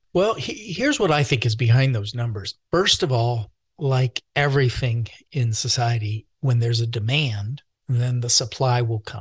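A somewhat breathy man speaks at a moderate pace, with a medium pitch and ordinary pitch variation. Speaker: doctor and mental health expert. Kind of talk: interview conversation. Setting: video call.

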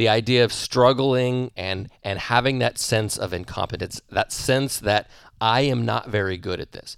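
In a very clean recording with a silent background and a dry, close sound with no echo, a man of medium pitch speaks at a moderate pace in an unremarkable speaking voice with fairly even intonation. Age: 40s. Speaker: business and performance coach. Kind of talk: solo podcast monologue. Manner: conversational with fillers and repetitions.

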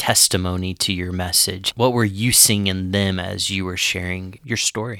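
The tone is bright and sharp, the intonation monotone and flat, and the recording very clean against a silent background. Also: man. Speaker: podcast host and father. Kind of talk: casual conversational podcast.

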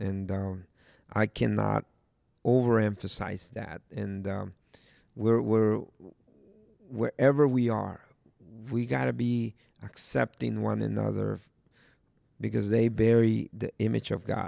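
A man speaks at a fairly slow pace with long, frequent pauses. The sound is dry and close, with no echo. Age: 40s. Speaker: pastor. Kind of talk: casual chat. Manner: halting.

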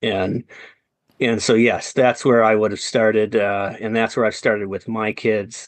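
At a moderate pace, a man with a Wisconsin accent talks in a fairly low, monotone, flat voice. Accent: Upper Midwest (Wisconsin). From central Wisconsin. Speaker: entrepreneur and real estate investor. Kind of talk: interview.

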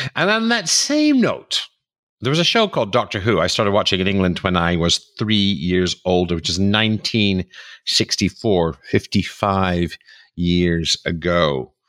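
A man's unremarkable speaking voice, fairly low in pitch with ordinary pitch variation, dry and close with no echo, on a very clean recording with a silent background. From New York City. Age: 50s. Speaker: podcast host, author and speaker. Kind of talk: monologue on personal news; interview.

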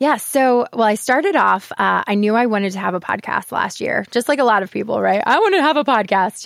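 Talking at a fairly quick pace, a woman uses a fairly high pitch, lively intonation and vocal fry. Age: 30s. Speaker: mortgage professional and podcast host, former voice teacher. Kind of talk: interview.

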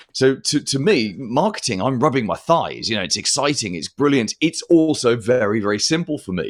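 A man's voice with very wide pitch swings at a fairly quick pace, in a very clean recording with a silent background. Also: medium pitch for a man. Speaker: marketing consultant and podcaster. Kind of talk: casual interview.

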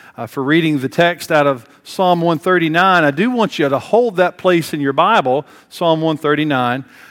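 A man with an American accent and a fairly high pitch, at a moderate pace with ordinary pitch variation. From US South, Tennessee (Bristol, on the Virginia border). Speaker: pastor. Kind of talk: sermon. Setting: church.

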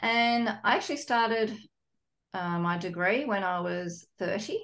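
A woman speaks with an Australian accent and ordinary pitch variation. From Sydney, Australia. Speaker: psychologist and divorce coach. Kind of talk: interview.

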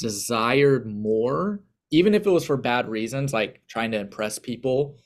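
A man with a plain, everyday voice speaks at medium pitch and a moderate pace, his intonation lively. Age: 30s. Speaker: pastor and aspiring counselor. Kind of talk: casual interview conversation.

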